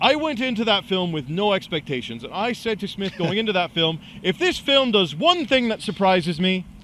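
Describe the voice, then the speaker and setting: A man talks loudly and at a fairly quick pace, with hardly any pauses. His high voice has a bright, sharp, animated tone and very wide pitch swings. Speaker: web show co-host. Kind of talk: casual chat.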